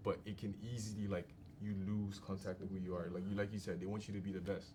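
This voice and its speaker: A man talks at a very fast pace with a fairly low pitch and monotone, flat intonation. His tone is dark, mellow and somewhat breathy. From Nigeria. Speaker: podcast guest. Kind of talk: casual group discussion.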